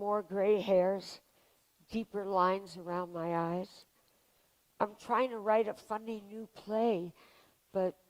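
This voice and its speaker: A woman's medium-pitched voice at a very slow pace, broken by long, frequent pauses. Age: 70s. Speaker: playwright. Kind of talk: personal storytelling.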